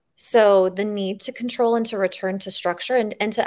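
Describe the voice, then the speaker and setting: The delivery comes at a very fast pace with fairly even intonation. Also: woman, very clean recording, silent background. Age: 40s. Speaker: fitness podcast host. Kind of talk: interview.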